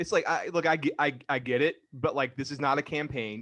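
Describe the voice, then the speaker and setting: In an American accent, a plain, everyday voice with ordinary pitch variation comes across dry and close with no echo against a quiet background. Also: man. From Georgia, US South. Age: 40s. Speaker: podcast host. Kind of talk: casual chat.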